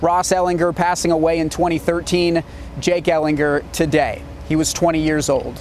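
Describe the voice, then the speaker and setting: A man's fairly quick, high-pitched voice over noticeable background noise. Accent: American. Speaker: TV news anchor and sports reporter. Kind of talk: TV news anchor and sports reporting.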